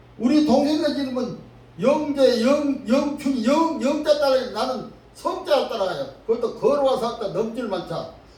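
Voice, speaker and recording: Fairly slow speech with ordinary pitch variation, noticeable background noise and audible room echo. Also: man, extremely high pitch for a man. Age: 80s+. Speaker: pastor. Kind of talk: sermon.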